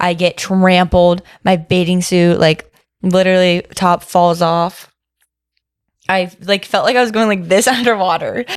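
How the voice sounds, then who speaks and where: Medium in pitch, a woman talks in an animated tone. Her loudness stays very even. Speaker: podcast guest being interviewed. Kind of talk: casual chat. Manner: fast when excited.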